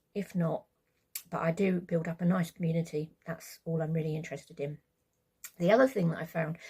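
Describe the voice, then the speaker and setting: A woman with a British accent speaks with a fairly low pitch and a dark, mellow tone. Her intonation is fairly even, and vocal fry comes through. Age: 60s. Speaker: vlogger, carer of brain-injured partner. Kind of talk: casual vlog monologue. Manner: hesitant, many fillers.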